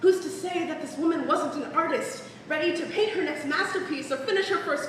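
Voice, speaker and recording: Speaking at a fairly quick pace, a woman with an extremely high-pitched voice comes through over noticeable background noise. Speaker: spoken word poet. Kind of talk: spoken word poetry performance. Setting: live stage.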